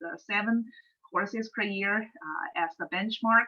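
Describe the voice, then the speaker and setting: In a Chinese accent, a woman speaks with lively intonation at a fairly high pitch. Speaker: economics professor. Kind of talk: webinar talk. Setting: online webinar. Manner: halting, many fillers.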